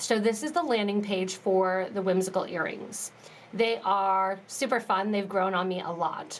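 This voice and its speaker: A woman speaks in a plain, everyday voice at a medium pitch. Her pace is fairly slow and her intonation fairly even. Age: 30s. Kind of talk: live tutorial. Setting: live stream.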